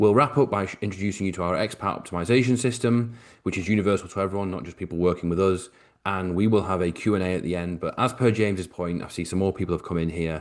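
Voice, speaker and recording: Against a quiet background, a man with a British accent speaks at a very fast pace in a very deep, low voice with ordinary pitch variation. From Britain. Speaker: financial advisor. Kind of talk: webinar presentation. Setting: video call.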